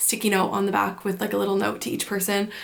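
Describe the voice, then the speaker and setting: A woman's medium-pitched voice rings with audible room echo. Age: 30s. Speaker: artist and vlogger. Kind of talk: casual chat. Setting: art studio.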